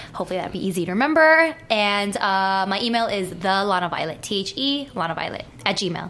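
Over music in the background, a woman speaks at a medium pitch and a fairly quick pace. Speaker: adult film performer. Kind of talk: casual chat. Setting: studio.

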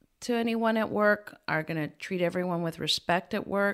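Here is an unremarkable speaking voice from a woman. She talks at a fairly slow pace with ordinary pitch variation. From Peru, moved to US as a child. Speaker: employment lawyer. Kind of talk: interview.

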